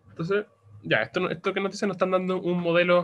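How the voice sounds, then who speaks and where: With a Chilean accent, a man speaks in a bright, sharp tone. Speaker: teaching assistant. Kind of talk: tutorial. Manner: fast; mumbling.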